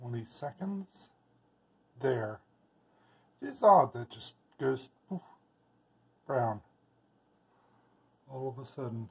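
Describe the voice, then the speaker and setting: A soft-spoken, somewhat breathy man at a very slow pace, with lively intonation, big swings in loudness, and long, frequent pauses. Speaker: home plant keeper. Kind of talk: casual narration of home experiment. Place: kitchen. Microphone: phone near.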